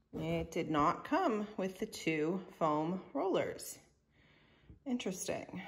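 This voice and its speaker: The pace is very slow. Light background noise can be heard. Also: woman. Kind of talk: casual vlog chat. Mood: disappointed at missing rollers. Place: home room. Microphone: phone near.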